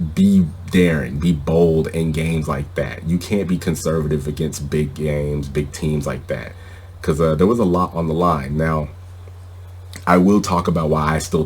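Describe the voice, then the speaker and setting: A man with a very deep, low pitch, a moderate pace and flat, monotone intonation. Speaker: sports podcast host. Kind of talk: sports podcast commentary. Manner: opinionated, conversational.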